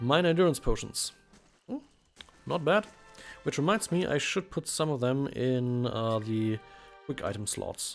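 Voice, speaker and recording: A man with a German accent talks at a moderate pace, his fairly high pitch carrying lively intonation. He leaves long, frequent pauses, and music plays in the background. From Germany. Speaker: let's play commentator. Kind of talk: gameplay commentary. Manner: casual.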